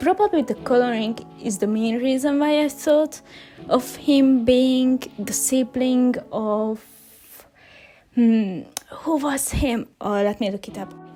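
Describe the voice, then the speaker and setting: A woman with a non-native accent speaks very slowly in a high pitch. Her pitch varies in an ordinary way, and there is noticeable background noise. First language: not English. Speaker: digital artist. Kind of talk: voice commentary over speedpainting. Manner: halting.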